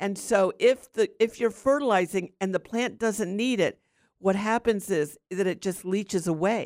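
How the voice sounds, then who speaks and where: Her voice is medium in pitch, with lively intonation at a moderate pace. The woman is heard in a dry, close sound with no echo. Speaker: gardening radio host. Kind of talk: radio talk show, gardening advice. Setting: studio. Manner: animated, enthusiastic.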